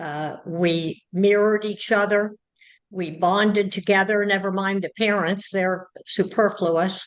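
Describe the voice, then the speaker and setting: Her pitch medium, a woman speaks at a fairly slow pace with monotone, flat intonation. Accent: American. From US Midwest, Cincinnati, Ohio. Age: 70s. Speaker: psychotherapist and author. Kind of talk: interview.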